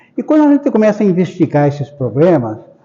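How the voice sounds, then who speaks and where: A man speaks over noticeable background noise. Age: 80s+. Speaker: spiritist lecturer. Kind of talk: public lecture. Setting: spiritist center hall with audience.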